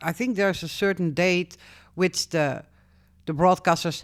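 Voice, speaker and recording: The woman speaks with a Dutch accent on a very clean recording with a silent background. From Netherlands. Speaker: YouTuber. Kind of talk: casual vlog. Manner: halting.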